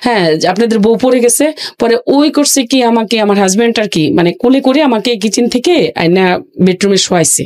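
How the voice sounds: With a fairly high pitch and a slightly mellow tone, a woman speaks at a fairly quick pace in lively intonation, pausing little.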